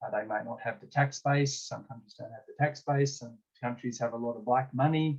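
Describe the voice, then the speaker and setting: Medium pitch from a man, somewhat breathy and fairly quick, with fairly even intonation and big swings in loudness. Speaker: discussion facilitator. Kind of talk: online group discussion.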